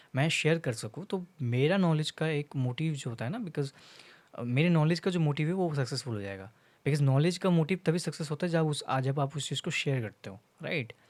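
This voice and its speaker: In a Bengali accent, a man speaks at a fairly high pitch. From India, Bengal. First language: Bengali (speaking Hindi). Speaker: content creator. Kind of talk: casual vlog monologue. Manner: halting, many fillers, Hindi-English code-switching.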